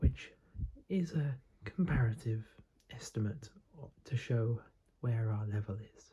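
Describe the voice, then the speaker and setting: Soft-spoken and somewhat breathy, a man whispers at a fairly slow pace. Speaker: chess teacher / ASMR creator. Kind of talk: ASMR chess lesson, whispered teaching. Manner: whispered, soft-spoken, slow.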